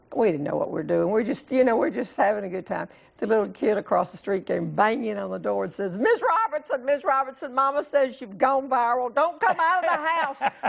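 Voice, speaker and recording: Someone with a Southern US accent talks fairly quickly with hardly any pauses and very wide pitch swings over noticeable background noise. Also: woman, high pitch for a woman. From US South, North Carolina. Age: 60s. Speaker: humorist. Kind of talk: TV interview.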